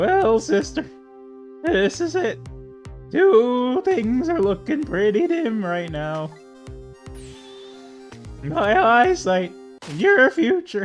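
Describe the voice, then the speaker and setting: A man uses a put-on character voice, pitched high and delivered at a very slow pace. Faint music plays in the background. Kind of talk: put-on villain voice. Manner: menacing.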